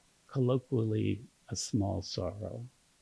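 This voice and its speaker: Recorded dry and close with no echo, a man speaks in a dark, mellow tone that is somewhat breathy, with ordinary pitch variation. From Kentucky. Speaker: poet giving a reading. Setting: stage.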